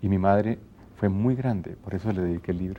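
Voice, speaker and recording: Here a man speaks at a moderate pace with fairly low pitch, ordinary pitch variation and a dark, mellow tone. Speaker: radio announcer and TV presenter. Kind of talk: interview answer.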